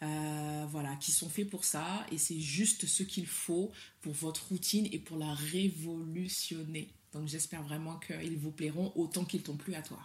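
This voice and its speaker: This woman's voice is very deep and low, and somewhat breathy. She talks at a fairly slow pace with a West African accent and fairly even intonation. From Mali. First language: Soninke (speaking French). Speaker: hair cosmetics entrepreneur, legal professional, writer. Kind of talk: casual interview chat.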